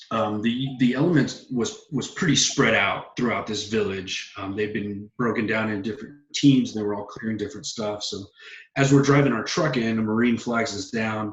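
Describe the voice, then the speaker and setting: A normal speaking voice from a man, medium pitch, moderate pace, ordinary pitch variation. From Texas. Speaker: Air Force bomb disposal technician, veteran. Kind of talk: interview answer, personal war story. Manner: casual.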